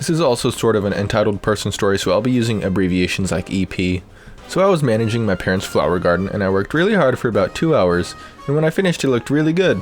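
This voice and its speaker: A man talks at a very fast pace and medium pitch, his pitch swinging very widely while his loudness stays very even, with music in the background. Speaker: voice actor. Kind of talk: reddit story narration.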